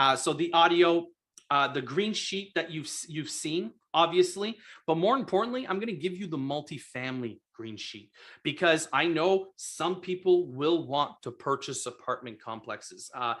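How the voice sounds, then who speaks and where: A man speaks with a high pitch and an animated tone at a moderate pace. His intonation is lively, and his loudness swings widely. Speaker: real estate investor and coach. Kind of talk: live stream sales pitch. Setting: live video stream.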